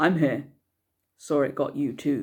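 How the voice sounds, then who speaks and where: A gruff, put-on character voice sits at a low-to-middle pitch. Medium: read story. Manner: blunt, gruff.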